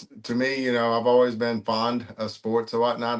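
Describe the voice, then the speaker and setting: A man speaks at a medium pitch. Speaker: sports card collector and YouTuber. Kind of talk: casual interview chat. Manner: halting, with pauses.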